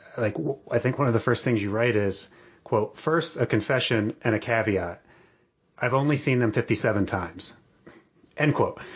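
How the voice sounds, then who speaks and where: A man in an American accent, medium pitch, ordinary pitch variation, somewhat breathy, very even loudness, moderate pace and long, frequent pauses. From Atlantic City, New Jersey. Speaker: podcast host. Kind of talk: casual interview.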